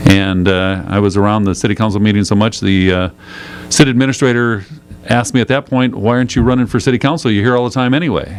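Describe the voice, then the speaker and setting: A man with an American accent talks very fast in a fairly low pitch. His pitch varies in an ordinary way, and there is noticeable background noise. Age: 60s. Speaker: county supervisor. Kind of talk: radio interview. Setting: radio studio. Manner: casual, hesitant with fillers.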